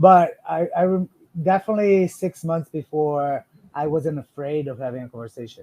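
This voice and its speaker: In a non-native accent, a dark, mellow voice moves at a moderate pace with ordinary pitch variation. Its loudness swings widely, and the sound is dry and close with no echo. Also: man, fairly high pitch for a man. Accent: foreign accent in English. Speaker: financial advisor. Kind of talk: podcast interview.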